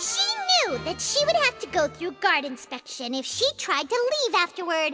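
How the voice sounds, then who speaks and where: In a cartoonish character voice at an extremely high pitch, the speaker moves at a moderate pace with very wide pitch swings while clear music plays in the background. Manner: brisk, explanatory.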